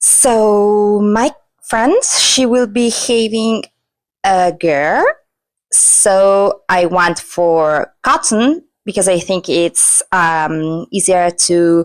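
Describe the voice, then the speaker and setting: Speaking at a very slow pace with a non-native accent, a woman keeps a medium pitch, lively intonation and very even loudness. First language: not English. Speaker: crochet vlogger. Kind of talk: casual vlog narration. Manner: casual, with hesitations.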